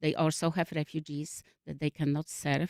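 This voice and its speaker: A woman speaks with a Polish accent at a very deep, low pitch and fairly even intonation. The sound is dry and close with no echo, and the recording is very clean with a silent background. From Poland. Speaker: refugee services worker. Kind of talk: radio interview. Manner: halting.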